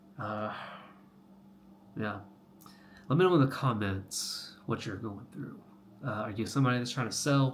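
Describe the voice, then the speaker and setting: Somewhat breathy and at a medium pitch, a man with an American accent speaks with long, frequent pauses as room echo is audible. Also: ordinary pitch variation, moderate pace. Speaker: health coach, vlogger. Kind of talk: casual vlog monologue. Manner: halting, many fillers.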